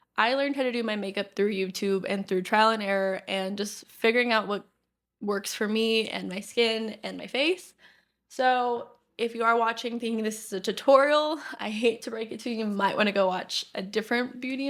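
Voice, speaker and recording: Her loudness swings widely as a woman with a fairly high voice speaks at a moderate pace with ordinary pitch variation. The recording is very clean, with a silent background. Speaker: podcast host. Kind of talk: casual chat; get-ready-with-me vlog talk. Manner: animated; shaky while blending makeup.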